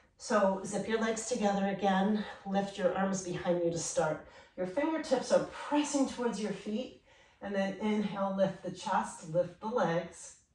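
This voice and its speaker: A woman speaks fairly slowly at a medium pitch with ordinary pitch variation. Noticeable background noise and audible room echo surround her voice. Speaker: yoga instructor. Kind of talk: guided yoga class instruction. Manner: calm, paced instructions.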